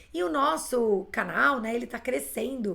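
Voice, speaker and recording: Here a woman speaks with a fairly high pitch. Her voice carries vocal fry. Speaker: English teacher. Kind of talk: live online class.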